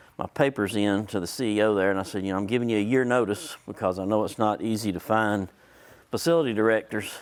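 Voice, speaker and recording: Speaking very fast in a Southern US accent, a man with a fairly low pitch and ordinary pitch variation is heard on a very clean recording with a silent background. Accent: Southern US (Georgia). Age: 60s. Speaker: hospital facilities consultant. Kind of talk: conference presentation. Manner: casual, folksy.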